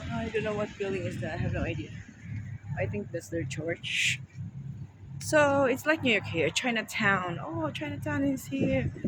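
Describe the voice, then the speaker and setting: Pitch swings very widely at a moderate pace. Noticeable background noise runs underneath. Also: man, fairly high pitch for a man. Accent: Filipino. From Philippines. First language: Filipino. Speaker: travel vlogger. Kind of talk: walking tour vlog. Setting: outdoors. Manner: animated.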